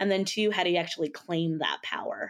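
Fairly low in pitch and at a fairly quick pace, a woman speaks in an unremarkable speaking voice. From Philippines, raised in California. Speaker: nonprofit CEO. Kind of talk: interview.

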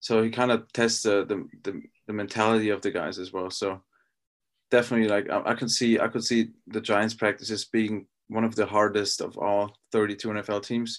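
In a German accent, a man talks at a fairly quick pace with monotone, flat intonation against a quiet background. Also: fairly low pitch for a man. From Austria. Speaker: professional football player. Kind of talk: interview. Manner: halting.

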